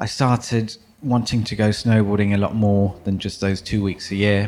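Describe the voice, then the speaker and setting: In a very clean recording with a silent background, a man talks with fairly even intonation. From London, England. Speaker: professional snowboarder. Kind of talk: interview. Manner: hesitant.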